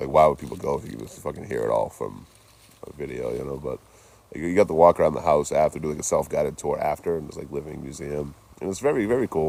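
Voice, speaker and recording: A man with an American accent talks at a very fast pace. His loudness swings widely over noticeable background noise. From Boston, US. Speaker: traveling live streamer. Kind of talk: live stream vlog. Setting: outdoors in a cemetery at night. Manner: casual, chatty; quiet at times.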